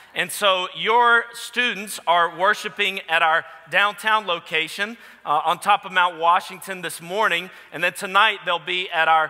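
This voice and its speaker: With a raised, projected voice, a man speaks at a fairly slow pace and with fairly even intonation. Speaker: guest preacher. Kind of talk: sermon. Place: church. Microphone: headset.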